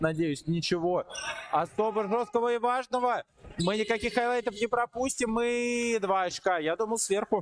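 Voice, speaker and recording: A high-pitched man talks in an animated tone at a moderate pace, with ordinary pitch variation and very even loudness. The sound is dry and close with no echo, with noticeable background noise. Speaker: sports commentator. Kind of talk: live basketball commentary over video highlights. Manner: animated, excitable, with frequent 'ой-ой-ой' exclamations.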